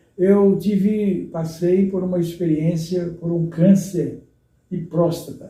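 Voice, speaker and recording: A man's high voice, very slow and monotone with flat intonation, with audible room echo. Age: 70s. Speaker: retired pastor. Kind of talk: interview. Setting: at home.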